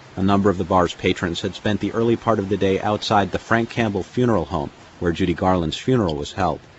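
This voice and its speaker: In a very deep, low voice with ordinary pitch variation, a man speaks at a very fast pace. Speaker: documentary narrator. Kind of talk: scripted narration.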